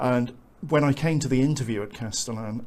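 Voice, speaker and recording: A man's medium-pitched voice at a moderate pace. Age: 60s. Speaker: software developer. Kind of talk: testimony. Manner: halting, many fillers.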